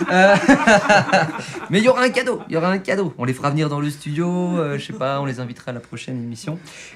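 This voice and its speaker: A man rattles along at a very fast pace while noticeable background noise carries on. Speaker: radio show host. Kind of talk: casual radio chat. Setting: studio. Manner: loud.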